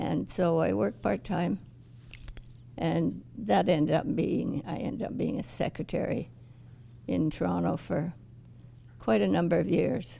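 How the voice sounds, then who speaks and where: A woman with a Canadian accent speaks in a very deep, low voice with a dark, mellow tone, vocal fry, very wide pitch swings and long, frequent pauses. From Ottawa, Canada. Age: 80s+. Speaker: oral history interviewee. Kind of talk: oral history interview. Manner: halting, with frequent restarts.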